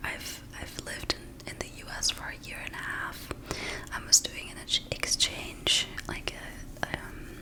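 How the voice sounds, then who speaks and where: A woman whispers at a fairly slow pace, with long, frequent pauses. Her loudness swings widely over noticeable background noise. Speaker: ASMR creator. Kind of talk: casual talk to camera, ramble. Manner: whispered, soft-spoken.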